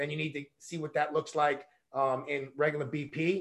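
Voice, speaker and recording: A man with a New York accent and a fairly high pitch. He talks at a moderate pace. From Brooklyn, New York. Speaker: baseball coach. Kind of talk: interview.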